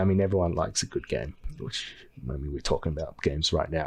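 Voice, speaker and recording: An Australian accent against a quiet background. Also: man. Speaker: gaming guild owner and YouTuber. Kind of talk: casual tutorial vlog. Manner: casual, filler words.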